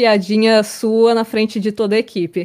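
A woman with an ordinary speaking voice and a fairly high pitch talks at a moderate pace. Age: 20s. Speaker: data scientist and streamer. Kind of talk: casual panel discussion.

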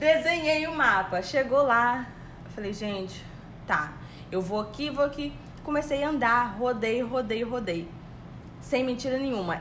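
A woman with a high pitch and lively intonation speaks at a fairly slow pace, leaving long, frequent pauses. Audible room echo and noticeable background noise fill the recording. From Brazil. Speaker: podcast co-host, office worker. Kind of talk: casual chat.

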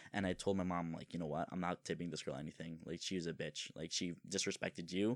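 At a very fast pace, a man with a very deep, low pitch speaks with hardly any pauses and fairly even intonation. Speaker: podcast host. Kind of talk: casual chat.

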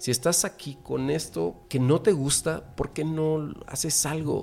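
Music plays behind a man whose fairly high voice rises and falls in an ordinary way. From central Mexico. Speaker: podcast host. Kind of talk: casual chat.

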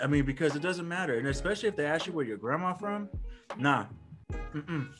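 Backed by music, a man talks at a fairly quick pace with lively intonation. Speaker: podcast co-host. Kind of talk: casual slang, profane.

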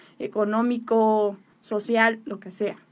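A woman talks on a very clean recording where the background is silent. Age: 20s. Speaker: relationship speaker. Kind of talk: talk-show interview.

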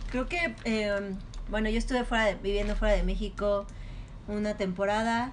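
Against audible room echo, a woman with a fairly high voice speaks at a moderate pace. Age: 20s. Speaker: chef and restaurant entrepreneur. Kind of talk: casual interview.

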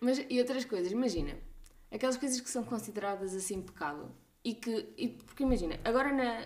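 Here is a woman with an ordinary speaking voice and a fairly high pitch. She talks at a fairly quick pace with lively intonation. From Portugal, Coimbra region. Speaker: podcast host, doctor. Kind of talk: casual chat.

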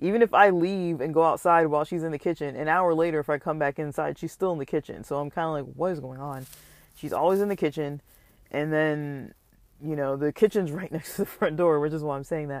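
Words come out very fast, and the recording is very clean with no background sound at all. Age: 40s. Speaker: podcaster. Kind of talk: solo monologue vlog. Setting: outdoors. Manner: casual, many fillers.

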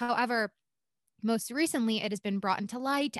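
A woman's plain, everyday voice, fairly high in pitch with ordinary pitch variation, in a dry, close sound with no echo and a quiet background. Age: 20s. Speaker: podcast co-host. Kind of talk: casual chat.

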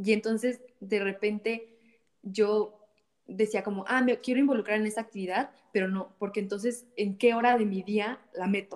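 This woman speaks with a Mexican accent at a moderate pace. Her intonation stays monotone and flat. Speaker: church volunteer, social projects worker. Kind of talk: casual chat.

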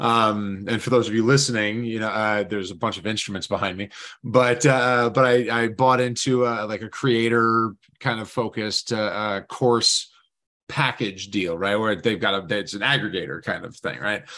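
At a moderate pace, a man with a medium pitch speaks in a bright, sharp tone and fairly even intonation. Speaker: podcast host. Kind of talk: casual interview chat.

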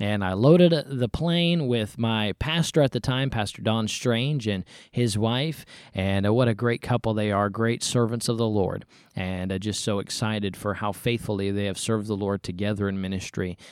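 A man with an unremarkable speaking voice talks at a moderate pace. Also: fairly low pitch for a man, ordinary pitch variation. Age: 20s. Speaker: podcast host. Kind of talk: personal testimony monologue.

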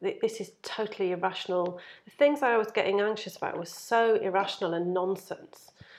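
The speaker has an unremarkable speaking voice and talks at a fairly quick pace. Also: woman. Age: 40s. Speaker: mindfulness practitioner. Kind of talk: casual chat. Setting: kitchen.

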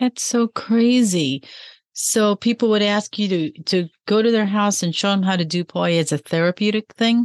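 A woman with a Chicago accent speaks at a moderate pace. Her loudness stays very even, and the sound is dry and close with no echo. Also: medium pitch for a woman, ordinary pitch variation, quiet background. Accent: Chicago American. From Chicago, US Midwest. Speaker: podcast host. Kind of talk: interview; scripted intro.

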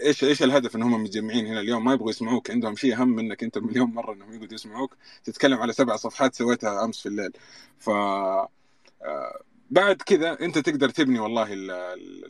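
A man with a plain, everyday voice speaks at a fairly quick pace in a medium pitch, with ordinary pitch variation and big swings in loudness. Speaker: data analyst. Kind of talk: casual panel discussion. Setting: online audio room.

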